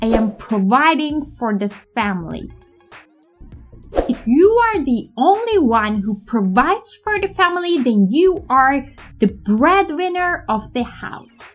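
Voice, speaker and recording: A woman's high voice with a non-native accent, very slow pace and very wide pitch swings, music in the background. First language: not English. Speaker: English teacher. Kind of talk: tutorial.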